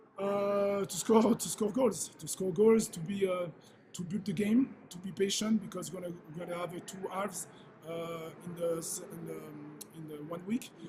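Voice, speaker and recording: A man with a high voice speaks at a moderate pace and with fairly even intonation, his loudness swinging widely amid audible room echo and background music. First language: French. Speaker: football head coach. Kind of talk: press conference. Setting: press conference. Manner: halting, many fillers.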